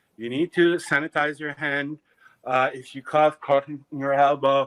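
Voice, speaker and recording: This man talks at a moderate pace with a Quebec French accent. His pitch sits fairly high. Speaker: clothing designer. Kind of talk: casual chat. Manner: halting.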